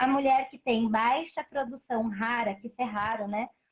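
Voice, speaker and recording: This woman has an ordinary speaking voice, talking at a moderate pace with fairly high pitch and ordinary pitch variation. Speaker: breastfeeding advocate and mother. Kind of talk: live stream interview. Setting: online live stream.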